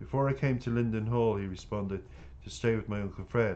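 A man talks at a fairly quick pace with lively intonation. His tone is dark and mellow. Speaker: author reading own book. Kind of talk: reading aloud. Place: home room.

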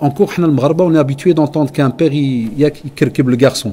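This man's fairly high voice carries a dark, mellow tone, sounds somewhat breathy, and keeps a fairly even intonation. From Belgium. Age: 40s. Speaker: Islamic teacher. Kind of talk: religious lecture.

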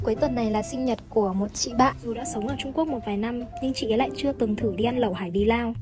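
Over music in the background, a woman with a fairly high pitch talks at a very fast pace with hardly any pauses and ordinary pitch variation. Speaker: Vietnamese student in Japan, vlogger. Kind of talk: vlog voice-over narration. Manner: uneven pitch.

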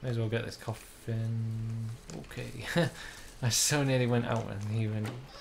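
A passage read aloud in a natural voice

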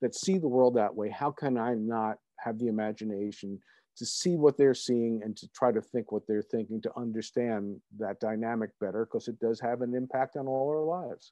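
A quiet background and a dry sound with no echo frame this recording. A man with an American accent speaks at a moderate pace with ordinary pitch variation. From United States. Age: 60s. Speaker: author and attorney; attorney. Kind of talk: interview. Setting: video call. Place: home room. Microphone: webcam.

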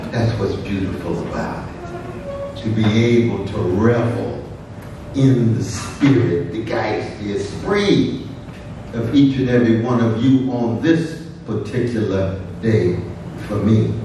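The speech moves at a very slow pace with long, frequent pauses and ordinary pitch variation, heard through strong room echo and light background noise. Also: man. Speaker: keynote speaker. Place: hall.

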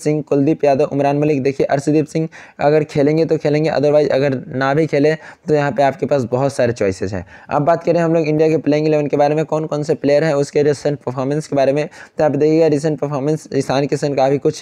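A man speaks at a moderate pace with fairly even intonation. His pitch is fairly high and his tone dark and mellow. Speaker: fantasy cricket tipster. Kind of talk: tutorial.

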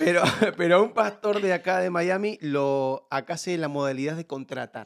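The man's pitch is high, with ordinary variation. He speaks at a moderate pace. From Buenos Aires, Argentina (Villa Lugano). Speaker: comedian and influencer. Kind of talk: casual podcast interview.

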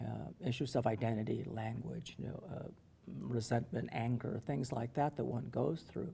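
The voice has a dark, mellow tone, vocal fry, and an American accent. Its pace is moderate, with ordinary pitch variation. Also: man, medium pitch for a man. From US-Mexico border, Calexico, California; California. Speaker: professor. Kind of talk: interview. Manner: halting. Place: meeting room.

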